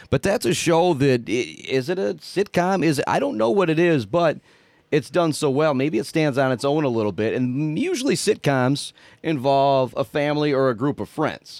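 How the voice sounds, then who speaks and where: A normal speaking voice from a man, fairly high in pitch, at a moderate pace with lively intonation. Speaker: radio station staffer and sports announcer. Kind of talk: casual chat.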